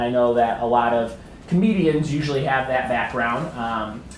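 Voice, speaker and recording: A man with an American accent is heard in a room with audible echo and noticeable background noise. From US Midwest, Chicago. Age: 30s. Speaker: comedian and writer. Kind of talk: talk to an audience.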